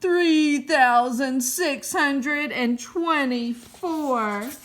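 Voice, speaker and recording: A woman in a put-on character voice projects a raised voice at a high pitch and a very slow pace. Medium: read story. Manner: curt, contemptuous.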